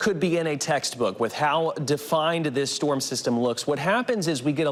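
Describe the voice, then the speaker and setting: An energetic, fairly high-pitched male voice over noticeable background noise. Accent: American. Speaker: TV meteorologist. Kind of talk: TV weather forecast. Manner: energetic, fast-paced broadcast delivery.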